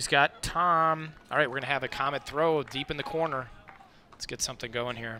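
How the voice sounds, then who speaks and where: A man with an American accent and a fairly high pitch talks at a moderate pace with fairly even intonation over noticeable background noise. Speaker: sports commentator. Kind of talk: live commentary. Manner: loud.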